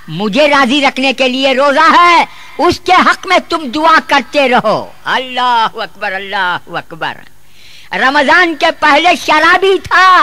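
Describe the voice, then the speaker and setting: In a raised, projected voice, a man speaks at an extremely high pitch with lively intonation. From South India. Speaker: Islamic preacher. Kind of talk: religious sermon. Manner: humorous, emphatic.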